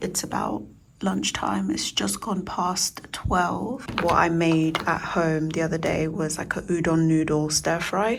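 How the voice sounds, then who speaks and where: A woman's fairly low voice in a London accent, fairly slow, with ordinary pitch variation, audible room echo and noticeable background noise. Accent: British English (London). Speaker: vlogger. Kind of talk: casual vlog talk. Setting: private office at work. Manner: whispering, soft.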